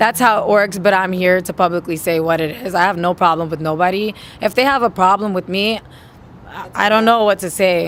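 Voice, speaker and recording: A woman with a New York accent speaks at a medium pitch and a fairly quick pace. Her tone is animated, and her pitch varies in an ordinary way. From New York, Queens. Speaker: musician. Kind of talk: interview.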